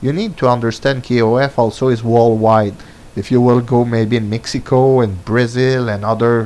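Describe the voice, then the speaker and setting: With a French accent, a man of medium pitch speaks at a moderate pace in monotone, flat intonation. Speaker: gaming commentator. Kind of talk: opinion monologue. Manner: halting, many fillers.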